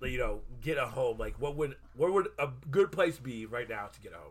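This man's speech is somewhat breathy, and his pitch varies in an ordinary way. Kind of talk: casual chat. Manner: animated.

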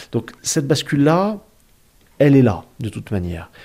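A man's dark, mellow, somewhat breathy voice with very wide pitch swings at a fairly slow pace. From southern France. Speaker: historian. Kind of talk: interview. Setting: dining room table at home.

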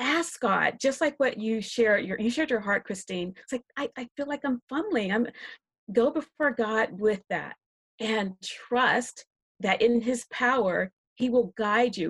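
A woman with an American accent, an ordinary speaking voice, fairly high in pitch with ordinary pitch variation, at a fairly slow pace, in a dry, close sound with no echo. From South Carolina (Rock Hill). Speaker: biblical counselor and writer. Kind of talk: panel discussion.

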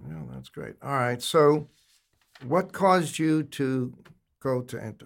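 A man speaks at medium pitch and a very slow pace, with lively intonation. His loudness swings widely, and he leaves long, frequent pauses. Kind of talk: casual interview conversation.

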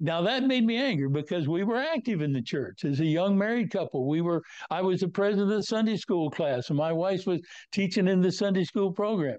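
A man with an American accent talks at a fairly quick pace. His pitch is high, his intonation lively, and his loudness very even. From US Midwest (northwest Kansas). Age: 90s. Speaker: retired meteorologist, former hurricane center director. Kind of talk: interview. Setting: video call.

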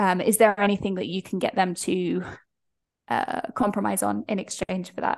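A woman is speaking with a British accent. Her pace is moderate. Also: quiet background. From Britain. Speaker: freelance pricing mentor. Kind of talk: interview.

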